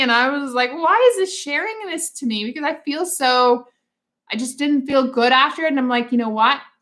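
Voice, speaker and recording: A woman speaks in a high pitch with a raised, projected voice. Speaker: social media creator. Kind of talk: live stream chat. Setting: live stream. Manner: casual, filler-heavy.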